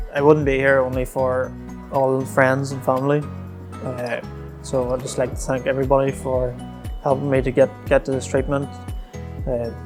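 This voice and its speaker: A man with a Northern Irish accent, moderate pace, monotone flat intonation and long, frequent pauses, music in the background. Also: medium pitch for a man. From Northern Ireland. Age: 20s. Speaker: spinal cord injury patient. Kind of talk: interview answer.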